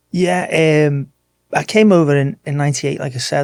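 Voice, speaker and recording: Here a man talks at a fairly quick pace with an English accent. His pitch is fairly high and varies in an ordinary way. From Merseyside, England (Wirral, near Liverpool). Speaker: martial arts coach. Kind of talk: casual interview chat.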